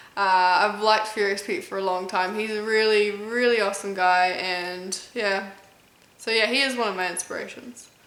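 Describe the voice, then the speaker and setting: A woman speaks in a monotone with flat intonation, medium in pitch and with an American accent. Audible echo from the room surrounds her voice. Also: moderate pace. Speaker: competitive eater and YouTuber. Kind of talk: casual Q&A video chat.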